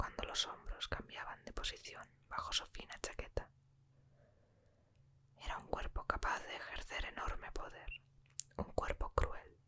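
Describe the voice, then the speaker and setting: Someone whispers at a fairly slow pace. Long, frequent pauses break up the speech. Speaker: ASMR book reader. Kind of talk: audiobook reading. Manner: whispered.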